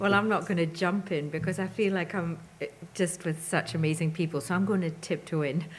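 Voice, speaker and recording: A woman with a Scottish accent speaks at a fairly quick pace, her fairly low, somewhat breathy voice keeping fairly even intonation. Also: very even loudness. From Scotland, Moray coast. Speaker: interfaith organisation director. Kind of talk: panel discussion.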